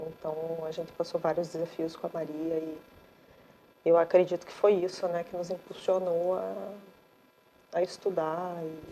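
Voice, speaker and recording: A woman's fairly low voice in a flat monotone, with long, frequent pauses and big swings in loudness. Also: moderate pace. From Paraná, southern Brazil. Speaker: mother of a child with Rett syndrome, chemical engineer. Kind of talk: casual interview chat.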